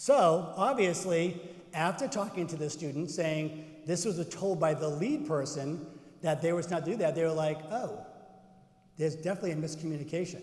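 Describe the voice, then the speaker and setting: Amid noticeable background noise and audible room echo, a man with a slight Boston accent and a high pitch speaks in an animated tone, leaving long, frequent pauses. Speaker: cardiovascular educator / presenter. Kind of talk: conference workshop presentation with audience interaction. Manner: animated, conversational.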